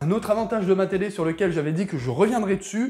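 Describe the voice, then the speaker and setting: Lively intonation over music in the background. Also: man. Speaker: tech youtuber. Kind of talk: casual tech review to camera.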